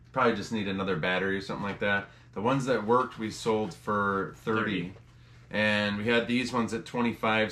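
At a fairly quick pace, a man with an unremarkable speaking voice talks at fairly low pitch with fairly even intonation. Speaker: reseller. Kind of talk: casual vlog chat. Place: home room. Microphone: camera far.

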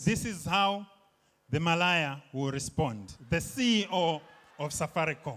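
At a fairly slow pace, a man speaks at a fairly high pitch with lively intonation. His tone is bright and sharp. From Zambia. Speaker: stand-up comedian. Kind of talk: stand-up comedy set. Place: stage. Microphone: handheld.

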